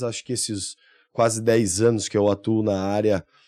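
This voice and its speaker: A man with a dark, mellow tone speaks at a moderate pace, recorded with a dry, close sound with no echo over a quiet background. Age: 30s. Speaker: recycling plant owner and civil engineer. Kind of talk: podcast interview. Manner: hesitant, many fillers.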